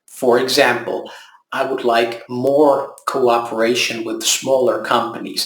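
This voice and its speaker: There is audible room echo around a man speaking at medium pitch. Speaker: local election candidate. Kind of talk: campaign video monologue. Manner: calm, gentle; slow.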